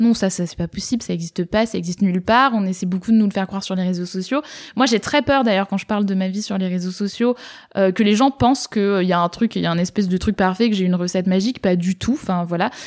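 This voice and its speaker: A woman at a medium pitch, ordinary pitch variation and a very fast pace, in a dry, close recording with no echo, very clean with a silent background. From southern France, Var. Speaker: social entrepreneur. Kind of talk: casual interview.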